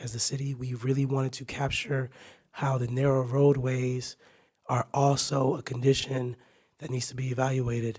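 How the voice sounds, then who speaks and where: Fairly slow and somewhat breathy, a man speaks in a monotone, flat way at a medium pitch. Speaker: city staff presenter. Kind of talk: presentation. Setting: council meeting.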